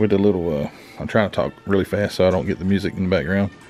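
The man's fairly low-pitched voice comes through with music in the background. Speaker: model car hobbyist vlogger. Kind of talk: casual vlog chat. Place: shop. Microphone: phone near.

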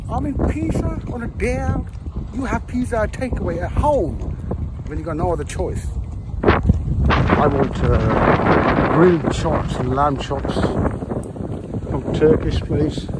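Over loud background noise, a man speaks very slowly with long, frequent pauses, the sound dry with no echo. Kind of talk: casual vlog chat. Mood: relaxed, joking. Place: street. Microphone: phone near.

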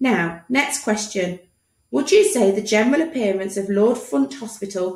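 Lively intonation in plain reading aloud, with a quiet background.

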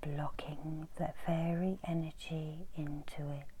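A soft-spoken woman's very deep, low voice, dark and mellow, somewhat breathy, monotone and flat, at a very slow pace. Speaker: reiki master and meditation guide. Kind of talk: ASMR introduction. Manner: soft, murmured.

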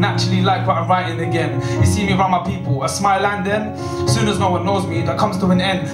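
Over loud background music, a man speaks at a very fast pace. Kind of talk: spoken word poetry performance. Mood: emotional, introspective. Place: stage.

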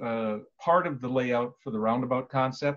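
Moderate-paced speech from a man. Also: quiet background. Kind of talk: presentation to council. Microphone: video call.

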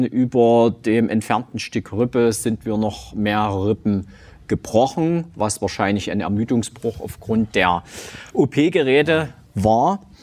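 A man with a medium-pitched voice talks very slowly, using ordinary pitch variation. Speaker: gym owner and cancer survivor; talk show guest. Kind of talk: testimony; interview answer. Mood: calm, reflective, serious. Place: studio. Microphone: lapel.

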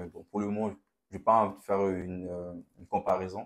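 A man's fairly low voice, monotone with flat intonation. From Haiti. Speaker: young churchgoer. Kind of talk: testimony. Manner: calm and reserved. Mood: reflective, personal testimony. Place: studio. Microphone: lapel.

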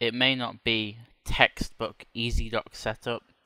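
This voice carries a British accent. The audio is very clean, and nothing can be heard behind it. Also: man. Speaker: flight simulator YouTuber. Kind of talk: tutorial. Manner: casual with many fillers.

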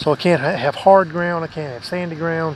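With noticeable background noise and a dry sound without echo, a man talks at a moderate pace. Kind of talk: casual vlog chat. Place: garden. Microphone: phone near.

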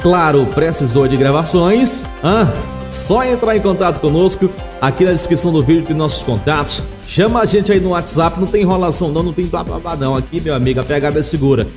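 Clear music runs behind a man who speaks fairly quickly with a high pitch and lively intonation. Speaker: radio voice-over announcer / jingle producer. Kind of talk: casual talk to camera promoting his recording services. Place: studio. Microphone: studio mic.

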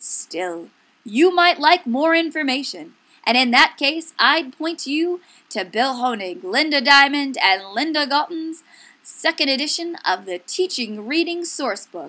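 At a fairly slow pace, a woman uses a raised, projected voice that is high-pitched, bright and sharp, upbeat and playful, with very wide pitch swings. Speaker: education video presenter. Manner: upbeat, gushing, salesy, with playful exaggerated enthusiasm and rhetorical questions.

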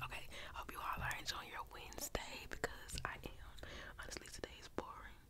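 Against loud background noise, a woman talks at a fairly quick pace. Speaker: ASMR creator. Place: home room. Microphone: studio mic.

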